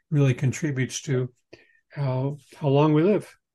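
A man talks at a moderate pace with a medium pitch and a somewhat breathy voice. His intonation stays fairly even. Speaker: podcast host. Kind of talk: interview conversation.

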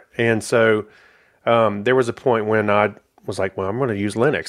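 A man with an American accent talks in a plain, everyday voice at medium pitch. His pace is fairly quick and his intonation fairly even. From South Carolina, US South. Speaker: software manager. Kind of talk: casual interview.

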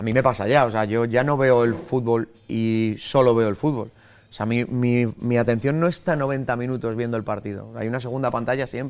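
A man speaks with an unremarkable speaking voice and fairly even intonation. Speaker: journalist and streamer. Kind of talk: casual chat. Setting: sports bar in a theme park.

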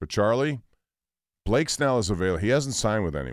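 Very wide pitch swings and vocal fry come through at a fairly quick pace on a very clean recording with a silent background. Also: man. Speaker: sports broadcaster. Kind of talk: casual sports talk show. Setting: radio studio.

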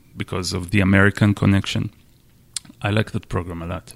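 A man speaks with an Israeli accent and fairly even intonation. The sound is dry and close, with no echo. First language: Hebrew. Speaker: orchestra conductor. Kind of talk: interview.

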